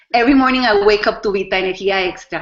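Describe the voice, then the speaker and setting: A woman of medium pitch with a Spanish accent and ordinary pitch variation. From Costa Rica. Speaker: network marketing distributor. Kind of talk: testimony. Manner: halting, many fillers.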